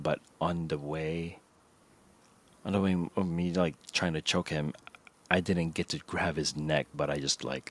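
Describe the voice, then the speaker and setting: With a slight Filipino accent, a man speaks in a very deep, low voice with fairly even intonation and long, frequent pauses. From Philippines. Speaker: podcast co-host. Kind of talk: casual chat. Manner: halting.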